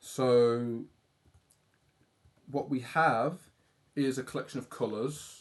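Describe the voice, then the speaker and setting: Speech in a British accent comes at a very slow pace with long, frequent pauses. The intonation stays fairly even. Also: man, medium pitch for a man. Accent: British accent, often praised by viewers. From UK. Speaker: livestreaming artist. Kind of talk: casual livestream chat while drawing.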